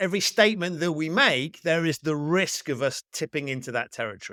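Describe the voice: A man's fairly high, bright, sharp voice moves at a fairly quick pace. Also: ordinary pitch variation.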